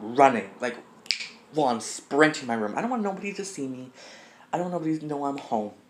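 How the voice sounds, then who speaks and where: Over noticeable background noise, a man talks at a fairly quick pace and a fairly high pitch with lively intonation. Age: 20s. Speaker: YouTuber. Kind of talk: casual chat. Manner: fast.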